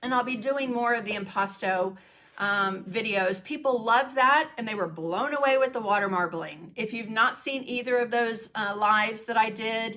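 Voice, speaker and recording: This woman's fairly high voice moves at a moderate pace with hardly any pauses and ordinary pitch variation. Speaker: craft painting teacher and livestreamer. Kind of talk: casual livestream chat with viewers. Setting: home studio livestream. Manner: casual, many fillers.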